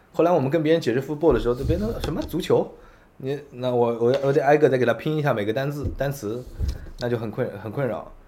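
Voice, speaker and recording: A man with a medium pitch talks at a very fast pace against noticeable background noise. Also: ordinary pitch variation. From Yancheng, Jiangsu, China. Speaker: restaurant chain founder. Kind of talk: interview conversation. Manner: repetitive stammering.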